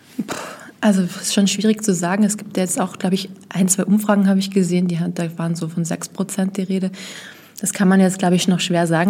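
At a fairly quick pace, a woman speaks in a flat, monotone delivery. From Vienna, Austria. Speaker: journalist. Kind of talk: interview.

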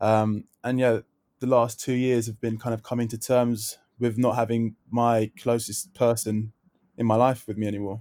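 A man speaks at a moderate pace in a medium pitch, his dark, mellow tone flat and monotone, the sound dry and close with no echo. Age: 20s. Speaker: festival organiser and TV personality. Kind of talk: interview. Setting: remote call from home. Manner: hesitant, many fillers.

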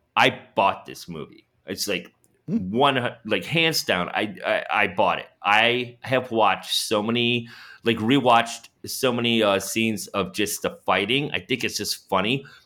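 A loud man speaks at a fairly slow pace and a medium pitch, with ordinary pitch variation. The recording is very clean, with a silent background. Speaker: podcast co-host, super fan. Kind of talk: casual chat. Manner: animated.

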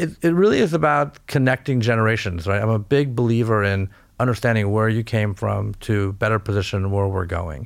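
On a very clean recording with a silent background, a man with an American accent uses an ordinary speaking voice, fairly low in pitch, at a fairly quick pace. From California. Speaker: investment banker. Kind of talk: interview. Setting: studio.

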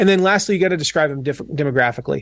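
This is a man speaking with an American accent. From US South, Franklin, Tennessee. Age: 40s. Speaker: author and online business coach. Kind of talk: casual interview chat.

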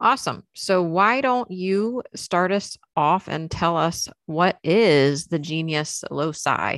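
A woman speaks very slowly in an American accent, her pitch fairly low. She hardly pauses at all. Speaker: podcast co-host, witch. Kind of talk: casual chat.

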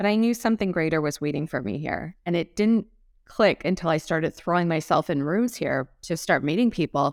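A woman with a Californian accent, fairly low in pitch, fairly quick and lively in intonation, on a very clean recording with a silent background and a dry, close sound with no echo. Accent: General American (Californian). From Los Angeles, US. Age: 40s. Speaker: public relations expert. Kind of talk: interview.

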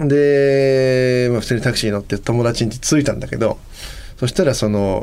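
A man's voice over noticeable background noise. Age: 30s. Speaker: vocalist and podcast co-host. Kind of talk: casual chat.

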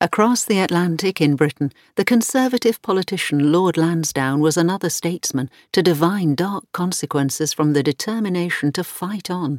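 Woman with an unremarkable speaking voice, fairly low in pitch, lively intonation, moderate pace, very clean recording and silent background. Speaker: narrator reading article aloud. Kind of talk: scripted documentary-style narration reading a history article. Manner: measured, formal, steady and authoritative.

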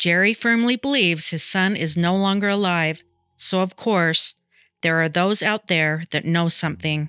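With an unremarkable speaking voice, a woman speaks at a moderate pace in a fairly low pitch, her pitch varying in an ordinary way, in a dry, close recording with no echo. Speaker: true crime podcast narrator. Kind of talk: true crime narration. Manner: measured, sombre, even-paced narration; formal, informational delivery.

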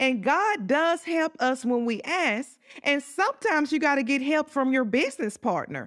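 A woman speaks in a rural Southern US accent with a high pitch and lively intonation. Her pace is moderate and her loudness stays very even. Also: hardly any pauses. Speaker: podcast host and business coach. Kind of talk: faith-based motivational talk. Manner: enthusiastic, repetitive.

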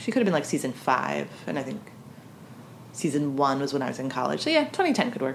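A woman talks at a fairly quick pace with an American accent. Noticeable background noise sits behind her. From US snow belt. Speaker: podcast co-host. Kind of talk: casual chat.

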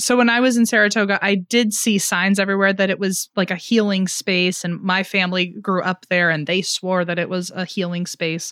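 A woman with an unremarkable speaking voice, medium pitch, fairly even intonation, a fairly quick pace and hardly any pauses, on a very clean recording with a silent background. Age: 20s. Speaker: podcast co-host. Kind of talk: casual chat.

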